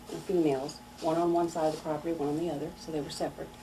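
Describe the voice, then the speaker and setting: An American accent amid noticeable background noise. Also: woman. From Missouri. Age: 60s. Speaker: local resident sharing memories. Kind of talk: oral history interview.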